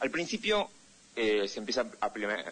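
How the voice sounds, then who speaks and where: Speaking at a fairly quick pace, this is a man. He has a Buenos Aires accent. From Argentina, Buenos Aires. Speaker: political analyst and correspondent. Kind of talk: interview.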